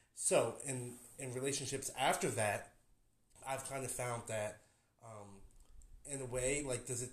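Somewhat breathy, a man with an American accent talks at a medium pitch and moderate pace with ordinary pitch variation. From New Jersey. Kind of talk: casual chat. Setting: drinking at home. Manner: halting.

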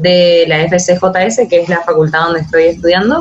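A woman speaks at a moderate pace, in a fairly low pitch. It's a normal speaking voice. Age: 20s. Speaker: law student on exchange. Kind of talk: interview.

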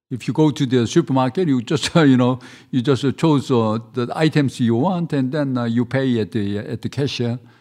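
Against a quiet background, a man with a Korean accent speaks in a dark, mellow tone at a moderate pace, with hardly any pauses. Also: medium pitch for a man, ordinary pitch variation. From South Korea. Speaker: restaurant owner. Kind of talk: casual interview. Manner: halting.

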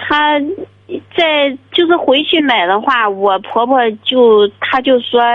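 With a high pitch and lively intonation, a woman talks at a very slow pace, leaving long, frequent pauses and keeping her loudness very even. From China, Shandong (Jining). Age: 30s. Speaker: caller. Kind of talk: phone-in advice call. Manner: hesitant.

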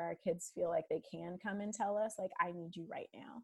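On a very clean recording with a silent background, a woman with a normal speaking voice talks at a fairly quick pace and medium pitch, with fairly even intonation. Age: 30s. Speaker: physical therapy student and mother. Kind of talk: casual interview.

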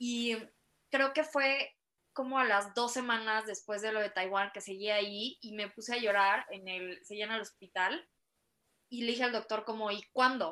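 With a Mexican accent, a woman speaks at a moderate pace in a fairly high pitch, her tone bright and sharp and her pitch variation ordinary. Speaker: guest sharing personal story of spinal injury. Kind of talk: casual interview chat.

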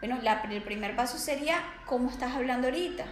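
A high-pitched woman with a Venezuelan accent and ordinary pitch variation, with audible room echo and noticeable background noise. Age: 20s. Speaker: psychologist and life coach. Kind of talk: podcast interview.

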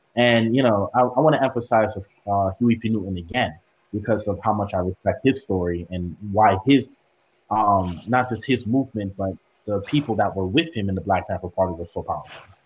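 Somewhat breathy, a man talks at a fairly quick pace with a fairly low pitch. He has an American accent and ordinary pitch variation. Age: young. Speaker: student activist. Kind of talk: casual chat.

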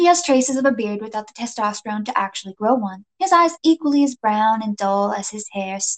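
In a natural reading voice, someone reads against a quiet background.

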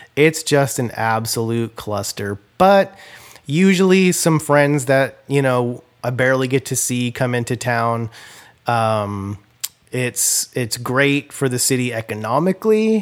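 An unremarkable speaking voice from a man at medium pitch, fairly slow with lively intonation. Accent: American. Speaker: podcast host. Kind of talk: casual chat.

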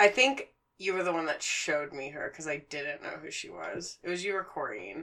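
In a plain, everyday voice, a woman talks at a fairly quick pace with a fairly low pitch, lively intonation and big swings in loudness. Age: 20s. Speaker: podcast co-host. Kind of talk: casual chat.

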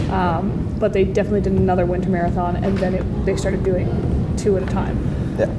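A woman at a fairly quick pace with hardly any pauses, amid noticeable background noise. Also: very even loudness. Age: 30s. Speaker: gaming nonprofit president. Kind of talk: casual chat. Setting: convention.

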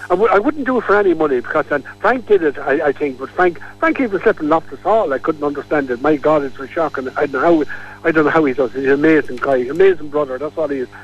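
With a Kilkenny accent, a man talks at a very fast pace and a fairly high pitch, with lively intonation and hardly any pauses. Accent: Irish, Kilkenny. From Kilkenny, Ireland. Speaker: local character, Elvis fan. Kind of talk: radio interview. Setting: phone line. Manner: animated.

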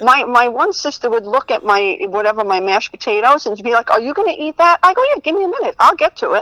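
In a raised, projected voice with an American accent, the speaker races at a very fast pace with hardly any pauses and very wide pitch swings, in a dry, close sound with no echo. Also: woman, high pitch for a woman. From New Jersey. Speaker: comedian. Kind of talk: casual chat.

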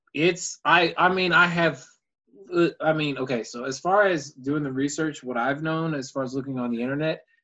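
Over a quiet background, a man with an unremarkable speaking voice talks at a moderate pace, pitched fairly high with ordinary pitch variation. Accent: American. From Texas, Houston. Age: 20s. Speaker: actor. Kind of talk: casual chat. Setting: video call.

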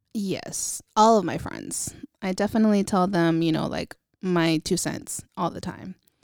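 In an ordinary speaking voice, a woman talks at medium pitch and a fairly slow pace with ordinary pitch variation, on a very clean recording with a silent background. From Northern California, Vallejo. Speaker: photographer. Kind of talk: casual interview.

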